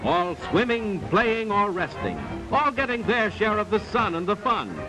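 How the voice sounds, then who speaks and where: Over music in the background, the speaker uses a raised, projected voice and an enthusiastic tone, at a fairly slow pace with ordinary pitch variation. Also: man. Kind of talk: upbeat documentary voiceover. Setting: vintage archival film soundtrack. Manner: brisk, enthusiastic, promotional.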